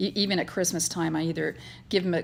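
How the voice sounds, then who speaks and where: A woman talks at a medium pitch with ordinary pitch variation in a very clean recording with a silent background. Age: 60s. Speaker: cross-stitch vlogger. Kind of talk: casual chat. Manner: halting, many fillers and repeats.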